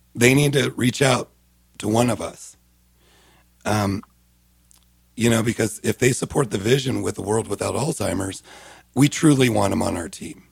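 At a moderate pace, a man with a somewhat breathy medium-pitched voice and ordinary pitch variation leaves long, frequent pauses. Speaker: senior living community relations director. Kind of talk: radio interview. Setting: studio.

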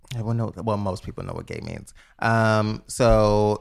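On a very clean recording with a silent background, a man speaks at a fairly low pitch with a New York accent. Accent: New York City. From the Bronx, New York. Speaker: entertainer and online boutique owner. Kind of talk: casual chat.

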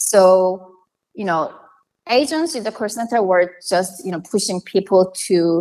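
A woman with a Korean accent, medium pitch, ordinary pitch variation, moderate pace, and a quiet background. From South Korea. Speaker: marketing analytics professional and author. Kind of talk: interview.

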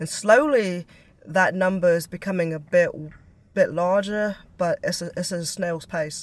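A woman has a plain, everyday voice at medium pitch with ordinary pitch variation and a fairly slow pace. Her loudness swings widely. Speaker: musician. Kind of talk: casual interview.

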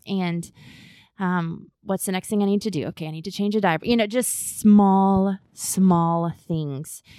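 A woman with an American accent, medium in pitch and dark, mellow in tone, fairly slow and fairly even, on a very clean recording with a silent background. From US South, Augusta, Georgia. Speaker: Bible teacher. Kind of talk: casual chat.

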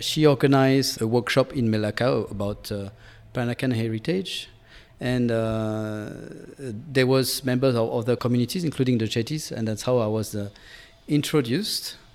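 At a moderate pace, a man speaks with medium pitch. His pitch variation is ordinary. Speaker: social anthropologist. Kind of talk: interview. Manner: hesitant with fillers.

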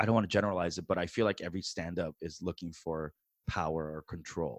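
Lively intonation colors this man's voice. He talks at a fairly quick pace. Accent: New York. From New York City, US. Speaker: stand-up comedian. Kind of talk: casual interview chat. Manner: animated.

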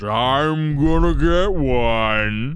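A man puts on a character voice, pitched at a medium level. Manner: gruff, loud.

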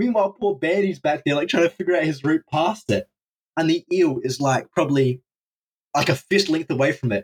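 Speaking with an Australian accent, a man talks at a fairly quick pace in a fairly high pitch, with lively intonation, very even loudness and a dry, close sound with no echo. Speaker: drain explorer. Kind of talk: casual chat.

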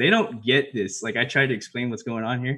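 A man is speaking. His pace is very fast. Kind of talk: casual podcast chat. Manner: informal, laughs often.

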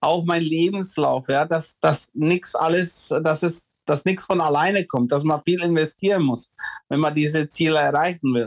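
A dry, close sound with no echo carries intonation that is fairly even. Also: man. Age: 40s. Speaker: former ice hockey player and coach. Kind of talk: interview. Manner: halting.

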